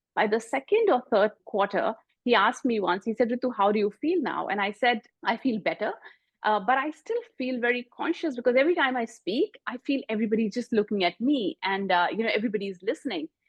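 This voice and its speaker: A woman speaks in a strong Indian accent at a fairly high pitch. Her intonation is lively and her pace fairly quick. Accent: prominent Indian. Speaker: executive coach and author. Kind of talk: interview.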